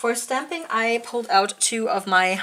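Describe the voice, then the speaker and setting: There is noticeable background noise in the recording. Over it, a woman is speaking. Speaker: nail art youtuber. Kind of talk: product review tutorial. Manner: halting, many fillers.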